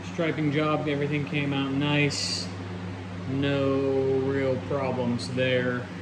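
A man is talking with noticeable background noise around him. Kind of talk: casual vlog walkthrough. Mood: pleased, relaxed. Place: garage. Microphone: phone near.

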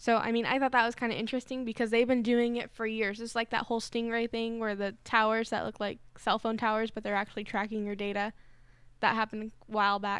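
A woman speaks very fast at a fairly high pitch, in a monotone with flat intonation. The sound is dry with no echo over a quiet background. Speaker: board operator and panelist, college student; panelist. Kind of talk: casual chat. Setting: studio. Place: studio. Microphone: studio mic.

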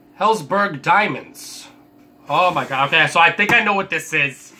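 Over noticeable background noise, a man speaks fairly slowly with lively intonation. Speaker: gaming YouTuber. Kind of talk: unboxing video. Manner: halting, many fillers.

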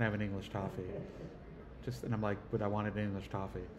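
There is noticeable background noise as a man speaks at a very fast pace. His pitch sits fairly low. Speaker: family member interviewing elderly father. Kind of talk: casual family chat. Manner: animated. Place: hall. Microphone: phone near.

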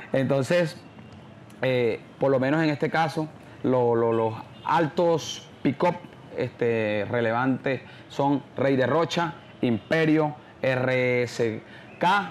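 Over light background noise, a man speaks at a very slow pace with long, frequent pauses. His pitch is medium, with ordinary pitch variation and very even loudness. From Colombian Caribbean coast, San Onofre, Sucre; Colombia. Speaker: champeta singer; interviewee. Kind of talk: interview. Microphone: lapel.

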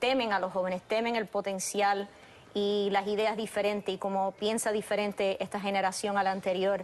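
A woman's flat, monotone delivery at a moderate pace. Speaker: TV guest. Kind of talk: interview answer. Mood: earnest, concerned. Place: studio.

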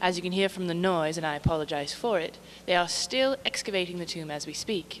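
Light background noise sits beneath a woman speaking fairly quickly. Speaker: mock news reporter. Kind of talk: parody news report. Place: tunnel cave. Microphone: handheld.

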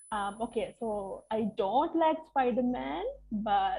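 A woman's fairly high voice comes across as somewhat breathy, with a dark, mellow tone. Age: 20s. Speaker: English teacher. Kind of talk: online lecture.

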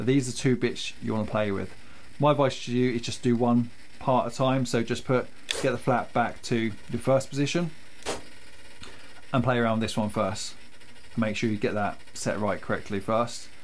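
At a moderate pace, a man speaks with fairly even intonation and long, frequent pauses over light background noise. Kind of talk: tutorial. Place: workshop.

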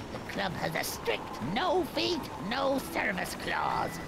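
In a put-on character voice that is high-pitched and gravelly, the speaker goes at a fairly slow pace over loud background noise.

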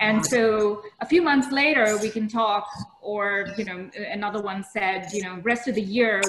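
A medium-pitched woman speaks at a moderate pace with hardly any pauses over noticeable background noise. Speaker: startup founder; panelist. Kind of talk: casual chat. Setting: video call. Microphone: headset.

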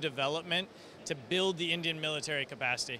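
A man speaks at a moderate pace with fairly even intonation, in a dry recording with no echo and light background noise. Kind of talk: interview answer. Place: hall. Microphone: handheld.

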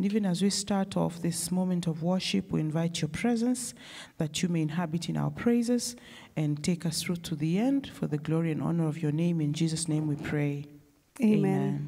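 A woman speaks at a fairly quick pace with a fairly low pitch and a dark, mellow tone. Her voice is somewhat breathy and very even in loudness, over a quiet background. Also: ordinary pitch variation. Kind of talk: worship service leading and prayer. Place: church. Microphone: handheld.

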